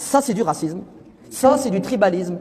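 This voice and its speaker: An animated tone with very wide pitch swings over noticeable background noise. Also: man. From France. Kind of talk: religious talk.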